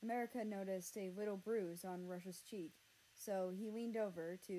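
Someone reads the words aloud in a plain manner.

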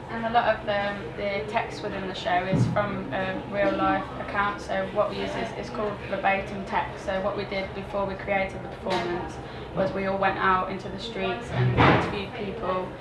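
Loud background noise runs under speech delivered at a moderate pace with hardly any pauses. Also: woman. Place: home room. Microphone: handheld.

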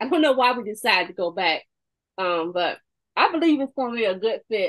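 A woman talks in an animated tone at a moderate pace. Her pitch is fairly high. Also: quiet background. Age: 50s. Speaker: makeup consultant. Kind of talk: product demonstration. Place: home room. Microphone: webcam.

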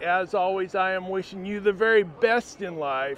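A man's high voice at a moderate pace, lively in intonation, dry with no echo, over light background noise. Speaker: travel vlogger. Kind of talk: casual vlog chat. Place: street. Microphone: phone near.

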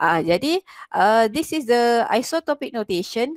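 A woman is speaking. The background is quiet and the sound is dry with no echo. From Malaysia. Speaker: chemistry lecturer. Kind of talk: online lecture / tutorial. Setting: video call with screen share. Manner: explanatory, code-switching between Malay and English. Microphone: headset.

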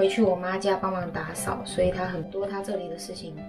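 Over clear background music, a woman talks at a fairly quick pace in a monotone, flat intonation. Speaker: vlogger. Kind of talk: casual vlog chat. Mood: subdued, sympathetic. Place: kitchen. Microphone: phone near.

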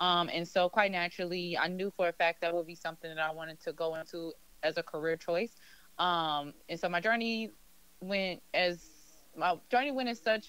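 A woman speaks at a moderate pace with ordinary pitch variation. The sound is dry, with no echo. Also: fairly low pitch for a woman. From Chicago South Side; Chicago. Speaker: crochet fashion designer; guest. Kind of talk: interview. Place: studio. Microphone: studio mic.

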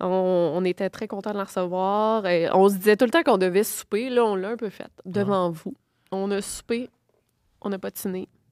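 At a moderate pace, a woman talks with ordinary pitch variation against a quiet background. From Quebec. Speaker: podcast co-host. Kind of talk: casual chat. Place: home room. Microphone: studio mic.

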